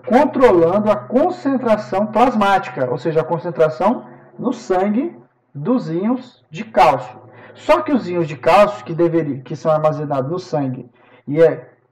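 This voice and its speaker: Audible room echo surrounds a man who speaks at a fairly slow pace in a high pitch, with very wide pitch swings and big swings in loudness. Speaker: professor. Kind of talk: lecture.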